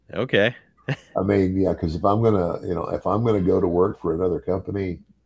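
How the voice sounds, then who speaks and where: Against a quiet background, a man speaks fairly quickly with a somewhat breathy, fairly low-pitched voice. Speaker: podcast guest. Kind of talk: interview answer. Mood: amused, relaxed. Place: home room. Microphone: webcam.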